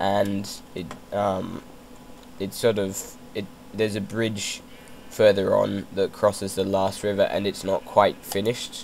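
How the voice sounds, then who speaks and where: A man speaks in a flat monotone at a fairly low pitch. He goes at a fairly slow pace with long, frequent pauses. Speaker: gamer. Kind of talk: casual gameplay commentary. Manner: hesitant, many fillers.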